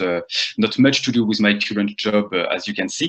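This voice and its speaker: The man's pitch is fairly low. He talks at a fairly quick pace. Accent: French. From France (Rennes, Brittany). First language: French. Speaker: marketing agency founder. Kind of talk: lecture. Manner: halting, many fillers.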